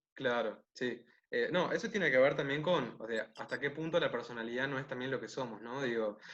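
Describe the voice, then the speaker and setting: A man with a Uruguayan accent talks at a fairly quick pace, medium in pitch with ordinary pitch variation. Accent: Rioplatense Spanish (Uruguayan). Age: 20s. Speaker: interview guest, nonbinary intersex activist. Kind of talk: casual interview. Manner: halting with fillers.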